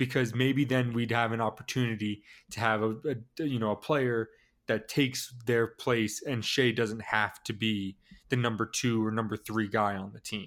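In an American accent, a man speaks at a medium pitch with a monotone, flat intonation. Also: moderate pace. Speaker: sports podcast co-host. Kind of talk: casual sports chat.

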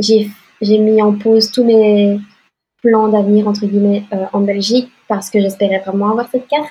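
A woman's somewhat breathy voice at medium pitch, in a monotone, flat intonation. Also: moderate pace. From Belgium. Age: 20s. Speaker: green card lottery winner. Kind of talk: interview.

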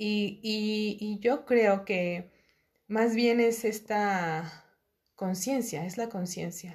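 A woman speaks at a medium pitch with ordinary variation in her pitch. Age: 30s. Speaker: podcast guest, host's cousin. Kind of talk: casual interview chat.

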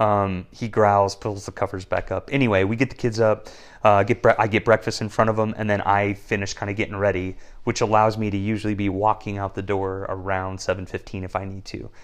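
With an American accent, a man speaks at a fairly quick pace in a fairly low pitch, his intonation monotone and flat over a quiet background. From Wyoming and Idaho, US Mountain West. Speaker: father with a career. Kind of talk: casual interview chat.

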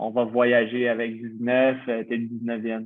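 Monotone, flat intonation from a man with a medium-pitched voice. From Quebec, Montreal. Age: 20s. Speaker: professional footballer. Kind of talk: casual interview.

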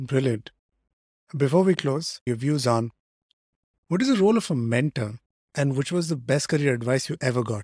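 A man with a fairly high pitch speaks at a moderate pace, somewhat breathy, with ordinary pitch variation. Long, frequent pauses break up his speech, and the sound is dry and close with no echo. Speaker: podcast host. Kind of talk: interview conversation.

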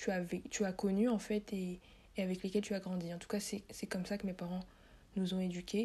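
Somewhat breathy, the voice has a dark, mellow tone and monotone, flat intonation. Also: woman. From France, Paris. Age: 20s. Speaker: podcast host and journalism student. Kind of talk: casual monologue.

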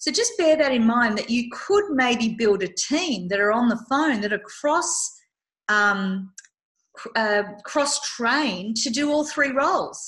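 A woman talks in an Australian accent. Her intonation is lively. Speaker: business consultant podcast host. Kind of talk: casual chat.

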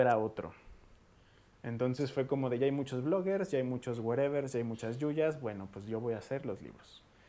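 A man's medium-pitched voice in a Mexican accent, at a moderate pace, with ordinary pitch variation and big swings in loudness. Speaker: podcast host; booktuber. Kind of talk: casual chat.

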